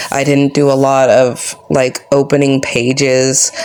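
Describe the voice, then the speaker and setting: Noticeable background noise accompanies a woman speaking in a very deep, low pitch. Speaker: book journaling YouTuber. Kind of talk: casual craft tutorial vlog. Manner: monotone.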